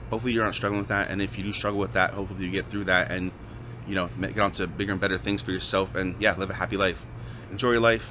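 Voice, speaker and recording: This man talks at a very fast pace in a fairly low pitch, his tone bright and sharp with vocal fry and ordinary pitch variation. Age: 30s. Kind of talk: casual talk to camera.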